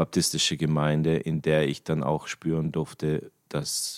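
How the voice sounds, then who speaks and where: A man speaks at a very slow pace in a very deep, low pitch. The sound is dry and close, with no echo. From Germany. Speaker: church member, bass player. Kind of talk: testimony. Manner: halting.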